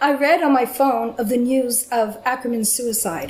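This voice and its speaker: Over noticeable background noise, a woman with a Canadian accent talks at a moderate pace with a high pitch and ordinary pitch variation. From Canada. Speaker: film scholar. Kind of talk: academic lecture. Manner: quiet.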